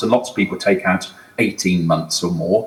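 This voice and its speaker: A man speaks with a British accent over noticeable background noise. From UK. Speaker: HR executive, conference speaker. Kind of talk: conference talk. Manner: hesitant, many fillers.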